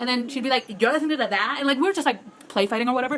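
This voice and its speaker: Against noticeable background noise, a woman talks very fast in a high pitch, animated in tone yet with ordinary pitch variation. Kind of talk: casual vlog monologue. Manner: fast, filler-heavy.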